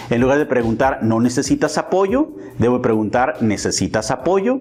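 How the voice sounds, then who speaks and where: A man speaks with a medium pitch and lively intonation at a moderate pace. His loudness stays very even, with noticeable background noise. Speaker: business trainer. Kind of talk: lecture.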